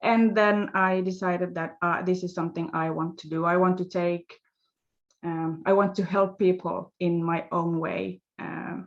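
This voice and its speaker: At a moderate pace, a woman with a Swedish accent talks in a fairly low, monotone, flat voice. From Finland. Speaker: life coach, former nurse. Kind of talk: interview. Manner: halting, many fillers.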